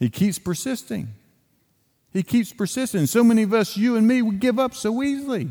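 On a very clean recording with a silent background, a man with an Appalachian accent talks at a fairly quick pace in a dark, mellow, high-pitched voice. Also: ordinary pitch variation. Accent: Appalachian Southern US. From Western North Carolina. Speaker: evangelist, guest preacher. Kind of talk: sermon. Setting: church.

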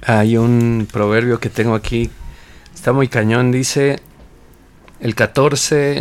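Speaking at a very slow pace with long, frequent pauses, a man keeps a medium pitch, fairly even intonation and very even loudness. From Mexico. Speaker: radio co-host. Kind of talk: radio Bible discussion.

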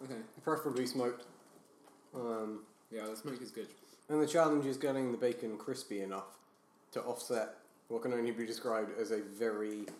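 With audible room echo around him, a man talks at a fairly quick pace but with long, frequent pauses. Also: medium pitch for a man, fairly even intonation. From Britain. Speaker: podcast guest. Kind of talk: casual chat.

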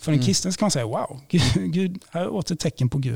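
A somewhat breathy male voice at a fairly quick pace, with very wide pitch swings. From Sweden, Blekinge. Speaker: priest and theology lecturer. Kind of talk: interview, explaining faith arguments.

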